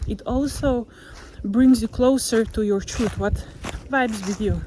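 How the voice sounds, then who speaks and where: This woman speaks with a Slovenian accent. Her pitch is fairly high, with ordinary pitch variation. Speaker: motivational vlogger. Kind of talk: casual vlog monologue. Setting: outdoors, walking on a forest trail.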